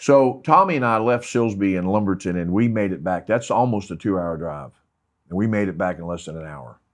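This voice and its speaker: Over a quiet background, a man with an American accent and an unremarkable speaking voice talks at a fairly quick pace, fairly low in pitch with lively intonation. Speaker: retired police investigator. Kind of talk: interview storytelling. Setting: studio.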